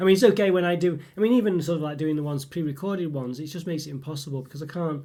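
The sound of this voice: Talking at a fast pace, a man uses a fairly high pitch, a dark, mellow tone and ordinary pitch variation.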